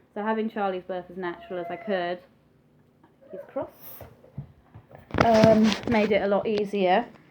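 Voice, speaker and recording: A woman with an English accent, medium in pitch and fairly even in intonation, with long, frequent pauses, big swings in loudness, and noticeable background noise. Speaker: vlogger. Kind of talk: personal vlog, testimony. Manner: fast, chatty; hesitant with frequent ums.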